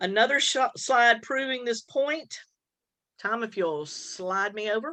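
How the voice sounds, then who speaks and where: Her voice sits fairly high and sounds bright and sharp, as the woman speaks with lively intonation. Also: fairly slow pace. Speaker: education presenter. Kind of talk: presentation.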